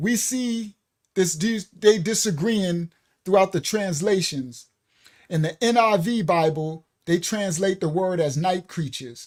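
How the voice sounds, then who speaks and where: A man's high-pitched voice with a New York accent and ordinary pitch variation, in a very clean recording over a silent background. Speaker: bible study teacher. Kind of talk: bible study lecture. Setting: live stream.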